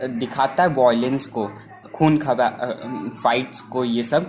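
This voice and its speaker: A man's voice amid noticeable background noise. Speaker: anime movie explainer. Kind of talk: casual movie recap narration. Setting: no microphone, unedited voice. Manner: unscripted.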